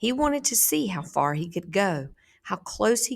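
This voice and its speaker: An ordinary speaking voice from a woman with an American accent, fairly low in pitch and fairly slow in pace, in a very clean recording with a silent background. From south Georgia, USA. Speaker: teacher. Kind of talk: story read aloud to students.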